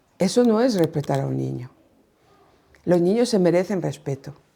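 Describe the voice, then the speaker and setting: At a moderate pace, a woman of medium pitch speaks in a dark, mellow tone. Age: 60s. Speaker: pastor and children's ministry teacher. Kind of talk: workshop talk. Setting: conference workshop with audience.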